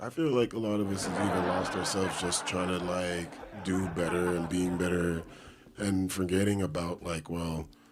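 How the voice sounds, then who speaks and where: A man's very deep, low voice with fairly even intonation over noticeable background noise. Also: moderate pace. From Toronto, Canada. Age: 40s. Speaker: podcast host. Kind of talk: casual chat.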